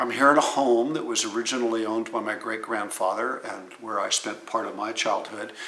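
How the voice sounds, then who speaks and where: A man with an American accent at a medium pitch and very fast pace, with noticeable background noise and audible room echo. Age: 70s. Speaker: outdoors and firearms channel host, Marine veteran. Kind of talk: vlog monologue. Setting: outdoors.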